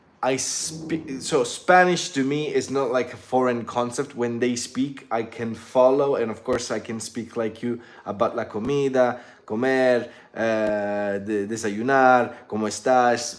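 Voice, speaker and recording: Noticeable background noise behind a man at a medium pitch, fairly slow and fairly even in intonation. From southern Italy. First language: Italian. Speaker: English teacher and YouTuber. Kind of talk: casual chat. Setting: live stream.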